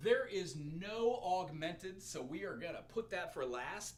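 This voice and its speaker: Speaking at a fairly slow pace with vocal fry, a man with a fairly high pitch swings his pitch very widely, and the room echo is audible. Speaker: music teacher. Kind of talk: music theory livestream lesson. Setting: live stream.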